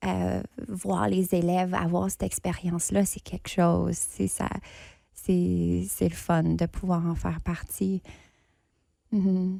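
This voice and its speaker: Her delivery is very slow. Long pauses come often between her words. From northern Ontario, Canada. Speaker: actor and playwright, festival judge. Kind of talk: podcast interview.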